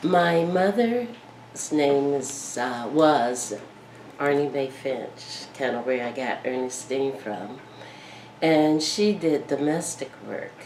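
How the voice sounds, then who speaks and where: A woman with a Southern US accent, very deep and low in pitch, at a very slow pace, with audible room echo and noticeable background noise. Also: lively intonation. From Miami, Florida. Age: 70s. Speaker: war veteran. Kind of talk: oral history interview. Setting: at her home.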